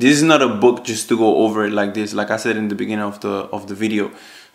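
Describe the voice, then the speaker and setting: A man with a Spanish accent, medium in pitch and fairly quick in pace. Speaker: online business youtuber. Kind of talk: casual chat.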